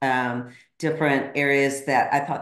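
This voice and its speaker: Audible room echo surrounds a woman with a very deep, low pitch who speaks with fairly even intonation at a moderate pace against a quiet background. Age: 50s. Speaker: podcaster and coach; podcaster, coach. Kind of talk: casual chat. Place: home room. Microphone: video call.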